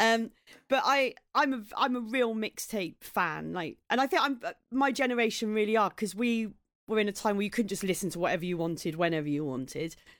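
Speaking with a southeast English accent, a woman uses lively intonation at a fairly quick pace and a fairly high pitch, in a very clean recording with a silent background. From southeast England, Maidstone in Kent. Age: 40s. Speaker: comedian. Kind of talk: casual chat.

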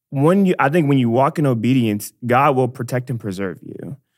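An ordinary speaking voice from a man with an American accent, medium pitch and ordinary pitch variation, on a very clean recording with a silent background. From Dallas, Texas. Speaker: church missions staff member. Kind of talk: casual faith conversation.

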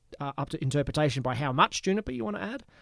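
A man with an Australian accent speaks at a fairly high pitch with ordinary pitch variation. The sound is dry and close, with no echo. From Queensland, Australia. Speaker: distiller and bartender. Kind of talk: casual chat. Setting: recorded live at a venue.

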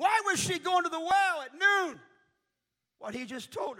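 The speaker has an American accent and a raised, projected voice. The pace is fairly slow. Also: man. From US Midwest, Indianapolis. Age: 40s. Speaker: missionary preacher. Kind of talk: sermon. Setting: church. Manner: animated.

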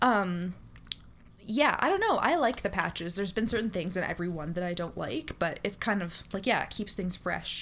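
Noticeable background noise runs behind a woman's voice. She speaks at a moderate pace in a medium pitch. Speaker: streamer. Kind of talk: casual chat.

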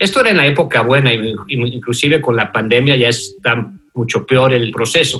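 Medium in pitch, a man's voice moves at a moderate pace over noticeable background noise. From Mexico City. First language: English (speaking Spanish). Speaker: fintech founder and former CEO. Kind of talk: interview. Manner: halting, many fillers.

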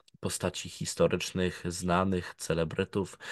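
A man's very deep, low voice, flat and monotone, at a fairly slow pace against a quiet background. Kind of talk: casual chat.

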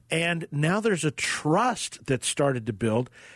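In a dry, close sound with no echo, a speaker with an American accent talks at a very slow pace with very wide pitch swings. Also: man. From Oklahoma (Tulsa). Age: 50s. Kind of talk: radio interview. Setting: studio.

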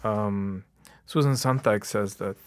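On a very clean recording with a silent background, a man speaks in a fairly low voice with an Arabic accent. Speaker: novelist. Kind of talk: interview. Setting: studio. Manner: halting.

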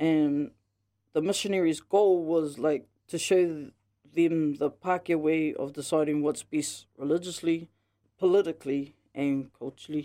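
A woman with a very deep, low pitch and a dark, mellow tone speaks at a moderate pace. Her intonation is fairly even, and the recording is very clean with a silent background. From New Zealand, Northland (Māori). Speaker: interviewee, host's mother. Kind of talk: interview. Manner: halting, many fillers.

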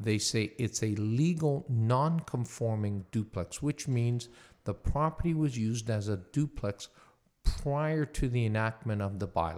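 In a very clean recording with a silent background, a man with a medium pitch talks at a fairly slow pace with lively intonation. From Hamilton, Ontario, Canada. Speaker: real estate lawyer. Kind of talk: interview, explaining legal topics.

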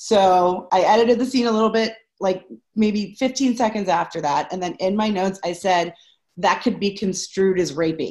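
A woman with an American accent talks at a moderate pace in a medium pitch with ordinary pitch variation and an ordinary speaking voice. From Pittsburgh, US. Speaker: improv coach and teacher. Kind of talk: casual interview chat.

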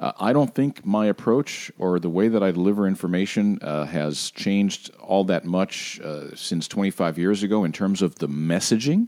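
In a very clean recording with a silent background and a dry, close sound with no echo, a man speaks at a moderate pace with a very deep, low voice and lively intonation. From Puerto Rico. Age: old. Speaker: TV meteorologist. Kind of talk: interview.

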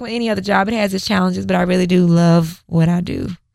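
An American-accented woman talks at a very fast pace in an animated, medium-pitched voice. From Houston, Texas. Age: 30s. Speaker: fitness instructor and blogger. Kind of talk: casual chat.

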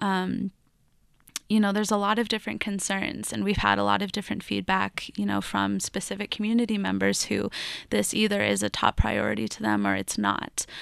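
At a moderate pace, a woman talks in a General American accent, with a dry, close sound with no echo and a very clean recording on a silent background. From Colorado (Lafayette). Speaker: recent graduate and voting rights activist. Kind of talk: radio interview. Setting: studio.

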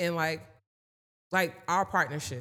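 A woman speaks at a moderate pace with a fairly low pitch and ordinary pitch variation. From US Northeast, Passaic, New Jersey. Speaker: mental health services provider and entrepreneur. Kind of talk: casual interview chat.

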